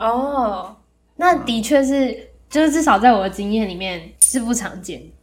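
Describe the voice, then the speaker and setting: In a room with audible echo, a woman with a fairly high pitch speaks at a fairly slow pace, using lively intonation and big swings in loudness. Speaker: podcast host. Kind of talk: casual chat.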